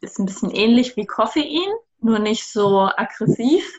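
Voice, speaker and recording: A woman at a very slow pace. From southern Germany. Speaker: cacao business co-founder. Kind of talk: interview.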